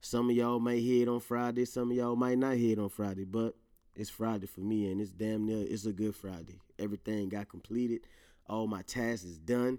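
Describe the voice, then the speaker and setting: Moving at a fairly quick pace, a man speaks in a dark, mellow tone. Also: medium pitch for a man. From Louisiana. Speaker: podcast host. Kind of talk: casual solo monologue. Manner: animated, laughs often.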